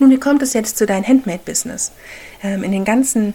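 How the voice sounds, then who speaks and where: The woman speaks at a medium pitch with fairly even intonation. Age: 30s. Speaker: podcast host and handmade business owner. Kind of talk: solo podcast monologue. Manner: halting.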